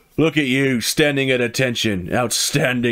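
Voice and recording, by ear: The reading is done aloud in a natural voice, with fairly even intonation.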